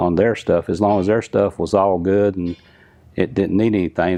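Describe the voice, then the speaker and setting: With a North Carolina accent, a man speaks at a moderate pace in a very deep, low pitch. His tone is dark and mellow, and his intonation is monotone and flat. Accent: Southern US, North Carolina. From North Carolina, Lumberton. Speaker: drag racing engine builder. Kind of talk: interview.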